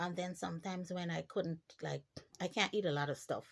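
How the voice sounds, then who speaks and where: A woman speaks at a fairly quick pace in a fairly low pitch, with vocal fry. Her pitch variation is ordinary. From Guyana. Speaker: vlogger. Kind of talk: personal storytelling monologue. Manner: animated.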